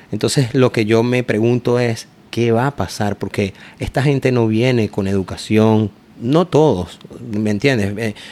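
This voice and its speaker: Here a man talks at a medium pitch. His pace is fairly slow. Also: ordinary pitch variation. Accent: Caracas. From Venezuela, Caracas. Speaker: food truck owner. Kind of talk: casual interview.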